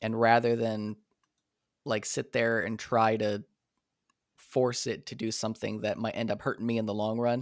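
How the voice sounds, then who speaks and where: A man with a normal speaking voice talks at a moderate pace and medium pitch, recorded very cleanly against a silent background. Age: 30s. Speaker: composer and dungeon master. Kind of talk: casual chat.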